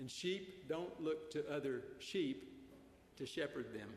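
A man in a Southern US accent, fairly high in pitch, with ordinary pitch variation and audible room echo. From Arkansas. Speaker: preacher. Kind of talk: sermon. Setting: church.

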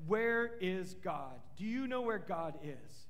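Putting on a character voice, a man speaks at a fairly slow pace in a high pitch. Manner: demanding, questioning.

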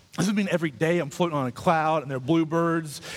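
Fairly high pitch and ordinary pitch variation in a man's voice. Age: 30s. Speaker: pastor. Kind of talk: sermon.

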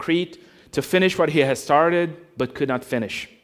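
A man with a non-native accent and fairly even intonation on a very clean recording with a silent background. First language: not English. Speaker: preacher. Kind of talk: sermon. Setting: church.

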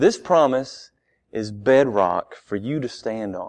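Over a quiet background, the speech moves at a very slow pace with lively intonation. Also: man. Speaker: guest preacher. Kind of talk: sermon. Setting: church. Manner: soft-spoken.

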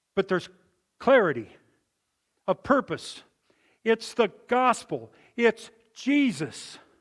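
Lively in intonation, a man speaks at a high pitch and a very slow pace with long, frequent pauses. The very clean recording has a silent background and a dry, close sound with no echo. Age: 70s. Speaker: preacher. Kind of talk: sermon. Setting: church.

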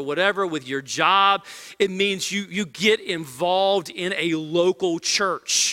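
The recording is very clean against a silent background. A man's bright, sharp voice shows ordinary pitch variation. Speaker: pastor. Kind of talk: sermon. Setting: church service, also live stream. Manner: earnestly exhortatory, urgent, driving home points with firm imperatives.

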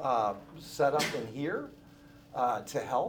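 A man talks with a fairly high pitch. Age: 60s. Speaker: pastor. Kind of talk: church membership class teaching. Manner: casual, joking.

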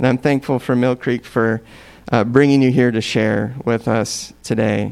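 A man talks at a fairly slow pace in an ordinary speaking voice, with medium pitch and fairly even intonation. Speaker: church leader. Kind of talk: scripture reading and prayer. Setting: church.

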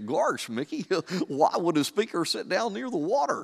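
Very clean, with a silent background, the recording has a man doing a put-on character voice at a high pitch, a moderate pace and very wide pitch swings.

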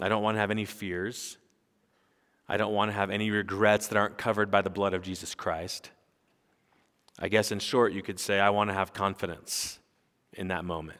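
The delivery is fairly quick yet broken by long, frequent pauses, in a monotone, flat intonation on a very clean recording with a silent background. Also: man, fairly low pitch for a man. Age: 40s. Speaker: pastor. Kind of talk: sermon.

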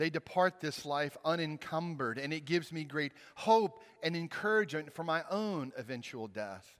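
Speaking with a Southern US accent, a man uses a fairly high pitch and lively intonation at a moderate pace. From Mississippi, US South. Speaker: pastor. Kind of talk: sermon.

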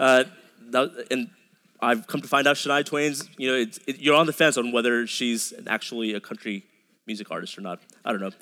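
In an American accent, a man with a bright, sharp tone and medium pitch speaks at a fairly quick pace. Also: ordinary pitch variation. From Dallas suburbs, Texas. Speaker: pastor. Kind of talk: sermon. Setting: church. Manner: halting, frequent repetitions.

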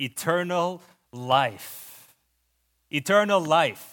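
A man with a Lebanese accent on a very clean recording with a silent background. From Lebanon. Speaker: preacher. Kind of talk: sermon. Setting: church.

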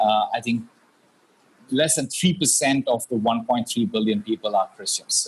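Speaking at a fairly slow pace, a man uses a medium-pitched, somewhat breathy voice with ordinary pitch variation. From India. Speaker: pastor and former business journalist. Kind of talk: interview.

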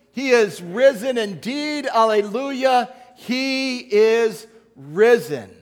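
The recording is very clean and the background silent. On it, a man talks. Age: old. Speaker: pastor. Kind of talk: sermon. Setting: church.

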